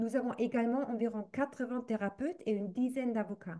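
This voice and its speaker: A woman talks in a German accent at a fairly high pitch. Her tone is dark and mellow. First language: German (speaking French). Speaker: association representative, activist. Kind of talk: reading aloud a prepared statement. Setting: recorded video. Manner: halting, careful.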